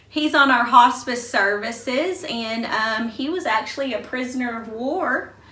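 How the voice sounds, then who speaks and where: A woman with high pitch and ordinary pitch variation speaks with hardly any pauses over noticeable background noise. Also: fairly slow pace. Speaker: interviewer. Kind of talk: interview questions.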